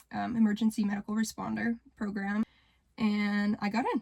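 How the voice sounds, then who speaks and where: Her intonation monotone and flat, a woman with a western Canadian accent speaks at medium pitch in a dry, close recording with no echo. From Canada, rural Alberta. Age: young. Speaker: vlogger. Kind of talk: personal vlog monologue. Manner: hesitant, with filler words.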